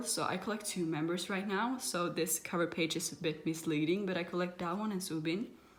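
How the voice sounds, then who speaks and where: A woman speaks with a non-native accent at a fairly quick pace. Her pitch is fairly low, and the room echo is audible. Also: hardly any pauses. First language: not English. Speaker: kpop photocard collector vlogger. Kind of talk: casual show-and-tell vlog. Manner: halting, self-correcting.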